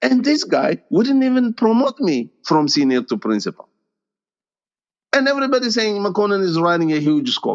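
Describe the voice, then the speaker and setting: A man's high-pitched voice with an Ethiopian accent, very wide pitch swings, very even loudness and a moderate pace. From Ethiopia (Gondar). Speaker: tech executive. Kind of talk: interview, personal story.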